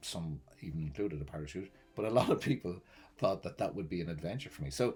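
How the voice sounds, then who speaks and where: A man talks at a very fast pace with a very deep, low pitch and lively intonation in an Irish accent. Music plays in the background. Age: 60s. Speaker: vlogger. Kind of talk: personal vlog monologue.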